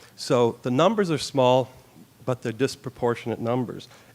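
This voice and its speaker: A man talks at a fairly quick pace in an ordinary speaking voice, with ordinary pitch variation. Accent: Canadian. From Canada. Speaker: youth justice expert. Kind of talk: forum presentation.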